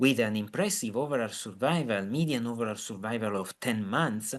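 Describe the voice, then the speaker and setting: Against a quiet background, a man speaks with an Italian accent. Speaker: physician. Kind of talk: lecture. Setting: video call. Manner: halting.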